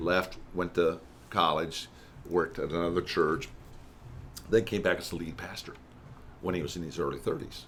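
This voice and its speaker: Very deep and low, a man's voice comes with fairly even intonation, long, frequent pauses, and big swings in loudness. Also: moderate pace. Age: 60s. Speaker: church consultant. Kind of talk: podcast interview. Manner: conversational, with many fillers and restarts.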